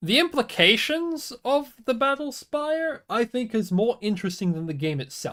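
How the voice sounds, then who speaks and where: A man with an extremely high pitch talks at a moderate pace with very wide pitch swings and hardly any pauses. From Australia. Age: 20s. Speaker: video game streamer. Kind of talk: casual live-stream chat. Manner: animated, rambling with stumbles.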